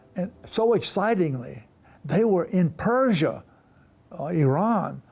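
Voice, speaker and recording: With an American accent, a man talks with lively intonation. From US South. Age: 80s+. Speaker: retired missionary and professor. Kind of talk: interview storytelling.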